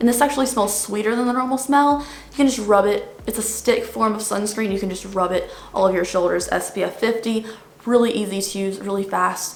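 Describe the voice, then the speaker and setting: A woman with a fairly high voice talks at a fairly quick pace amid noticeable background noise and audible room echo. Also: ordinary pitch variation. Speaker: beauty youtuber. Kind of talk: casual product review. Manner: fast.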